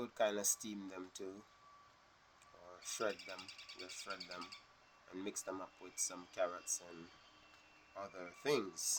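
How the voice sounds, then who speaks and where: Very deep and low in pitch, a man talks at a very slow pace in a relaxed tone. His intonation stays fairly even. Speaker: vlogger. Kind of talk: casual vlog talk. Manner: relaxed, hesitant with fillers.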